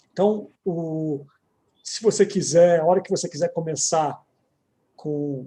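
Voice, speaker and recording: A man speaks with a São Paulo accent at a fairly slow pace. His tone is dark and mellow, and his intonation is fairly even. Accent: São Paulo (paulistano). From São Paulo city, Brazil. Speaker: lawyer, commission president and event host. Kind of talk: panel event moderation. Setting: live online event.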